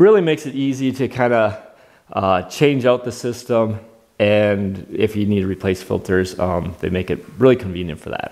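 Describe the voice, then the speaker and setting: This man's voice sits at a fairly low pitch with ordinary pitch variation. He keeps a moderate pace against a quiet background. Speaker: product reviewer. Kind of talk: product review demo. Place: workshop. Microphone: lapel.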